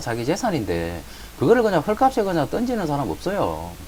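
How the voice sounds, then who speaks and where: Against noticeable background noise, a man with a Gyeongsang accent speaks quickly at a high pitch. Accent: Gyeongsang accent, trouble with some sounds. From Gyeongsang region, South Korea. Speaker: real estate auction educator. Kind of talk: lecture. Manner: casual, filler-heavy.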